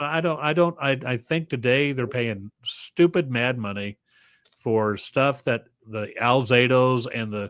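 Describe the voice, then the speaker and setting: A man with a normal speaking voice talks at a fairly slow pace with ordinary pitch variation. The sound is dry and close, with no echo. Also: medium pitch for a man. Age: 60s. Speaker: podcast co-host. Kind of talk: casual chat. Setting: live stream.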